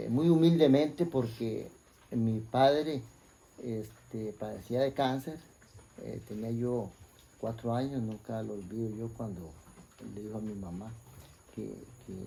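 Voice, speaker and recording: In a Costa Rican accent, a dark, mellow voice moves at a fairly slow pace with ordinary pitch variation and long, frequent pauses, heard with audible room echo. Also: man, medium pitch for a man. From Costa Rica, Puriscal (San José province). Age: 60s. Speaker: interviewee sharing life story. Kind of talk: life story interview. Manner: hesitant, many fillers and repetitions.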